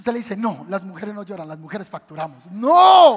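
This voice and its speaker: A man speaks at an extremely high pitch. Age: 30s. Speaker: pastor. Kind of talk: sermon.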